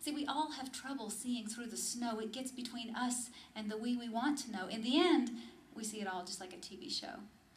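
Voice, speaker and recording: A woman with a plain, everyday voice talks at a fairly quick pace, her pitch fairly high with ordinary variation. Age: 30s. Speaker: spoken word poet. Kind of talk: spoken word poetry performance to a live audience. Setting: live cafe audience.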